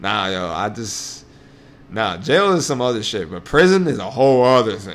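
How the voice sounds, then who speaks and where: Over noticeable background noise, a man with a New York accent talks in an animated tone, his pitch swinging very widely. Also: medium pitch for a man, moderate pace. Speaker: podcast host. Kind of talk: casual banter. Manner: profane, animated.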